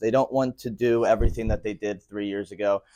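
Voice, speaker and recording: A man with an American accent and an unremarkable speaking voice, fairly quick and fairly even in intonation, dry, close sound with no echo, quiet background. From Philadelphia, US. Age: 20s. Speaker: financial educator and company founder. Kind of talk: presentation to a live audience.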